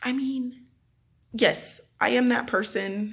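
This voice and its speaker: A woman speaks loudly. Her tone is animated. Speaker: vlogger. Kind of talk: casual vlog talk. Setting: empty apartment.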